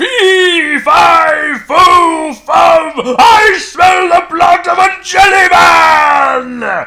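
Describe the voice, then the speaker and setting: A man shouts in a put-on character voice at an extremely high pitch. He goes at a very slow pace with hardly any pauses. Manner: menacing, playful.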